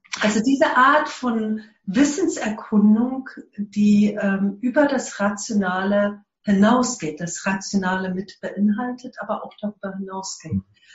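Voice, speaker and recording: A woman with a medium pitch and ordinary pitch variation talks at a very slow pace. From South Africa. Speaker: eco-village network leader. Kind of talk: interview. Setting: remote connection.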